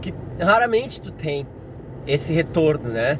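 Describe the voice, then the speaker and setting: Fairly high-pitched male voice amid noticeable background noise and audible room echo. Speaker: science teacher. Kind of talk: casual vlog monologue. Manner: halting, with frequent fillers and restarts.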